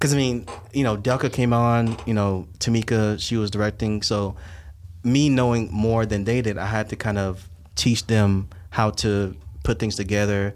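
A man talks at a moderate pace with very even loudness, fairly low pitch and ordinary pitch variation. The recording is very clean with a silent background. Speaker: filmmaker and podcast host. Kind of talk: casual chat podcast. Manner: upbeat, enthusiastic.

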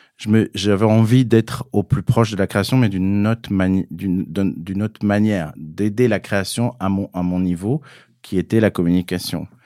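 A man's fairly low, dark and mellow voice at a moderate pace, with ordinary pitch variation, dry close sound with no echo, and a very clean recording over a silent background. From southern France (Cévennes, Gard). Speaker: fashion publicist. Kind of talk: interview conversation. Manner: halting, many repetitions.

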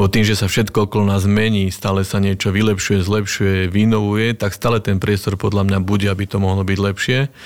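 A fairly quick, monotone, flat delivery from a man with a fairly low pitch, hardly any pauses and very even loudness. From western Slovakia, Nové Mesto nad Váhom. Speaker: regional director in financial services. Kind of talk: casual interview. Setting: studio.

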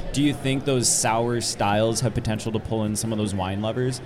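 A man's voice at a fairly quick pace, ordinary pitch variation, and noticeable background noise. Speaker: podcast host interviewer. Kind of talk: casual interview chat. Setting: live on convention floor.

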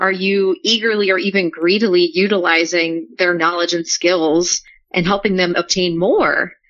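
A woman with an American accent speaks at a moderate pace in an ordinary speaking voice. Her pitch sits in the medium range, and her intonation stays fairly even. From New Orleans, US. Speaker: coast guard public affairs specialist. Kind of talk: podcast interview.

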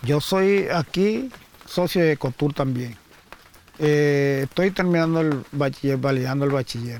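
Talking at a fairly slow pace with very even loudness, a man is heard over noticeable background noise. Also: fairly high pitch for a man, ordinary pitch variation. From Colombian Caribbean, Magdalena. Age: 50s. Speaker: former guerrilla fighter. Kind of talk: testimony.

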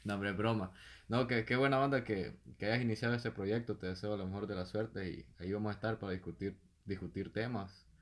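A man with a Salvadoran accent and a fairly low pitch, on a very clean recording with a silent background. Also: ordinary pitch variation, fairly quick pace. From El Salvador, San Antonio Pajonal. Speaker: podcast co-host. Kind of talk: casual chat.

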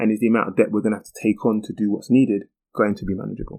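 Very fast and monotone, a man speaks in a fairly low voice with flat intonation. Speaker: podcast host. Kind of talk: solo explainer monologue. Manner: casual, frequent um fillers.

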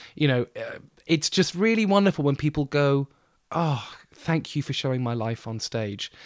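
With a southern English accent, a man talks at a moderate pace in a fairly high pitch and lively intonation, the sound dry and close with no echo on a very clean recording against a silent background. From southern England, Bournemouth. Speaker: theatre director. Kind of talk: interview.

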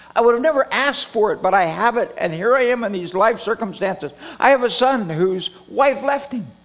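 A man with an American accent talks at an extremely high pitch. His intonation is lively and his pace fairly quick. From Redding, California. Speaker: preacher. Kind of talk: sermon. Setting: church with congregation.

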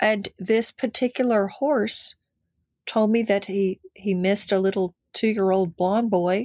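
A woman with an American accent speaks in an unremarkable speaking voice at medium pitch, at a fairly slow pace with fairly even intonation and very even loudness, on a very clean recording with a silent background. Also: dry, close sound with no echo. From Texas (Denton, Fort Worth). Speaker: actress, dancer and animal communicator. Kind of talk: casual interview.

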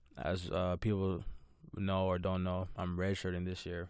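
The man has a very deep, low pitch. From Toronto, Canada. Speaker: college basketball player. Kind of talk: casual interview chat.

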